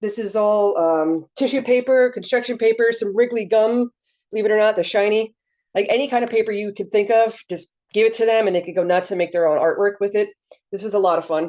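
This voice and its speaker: Over a quiet background, a woman talks at a fairly quick pace with ordinary pitch variation. Her voice is fairly high in pitch, with a dark, mellow tone. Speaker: librarian. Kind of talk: workshop presentation. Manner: fast; casual, filler-heavy.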